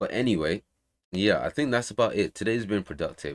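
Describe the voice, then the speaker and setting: A man talks with vocal fry in a very clean recording with a silent background. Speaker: game developer streamer. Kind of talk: casual livestream chat. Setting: livestream from home.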